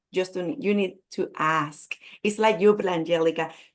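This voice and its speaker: A woman with a Spanish accent speaks at a medium pitch with ordinary pitch variation. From Puerto Rico. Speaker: business coach. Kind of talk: networking event self-introduction. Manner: halting.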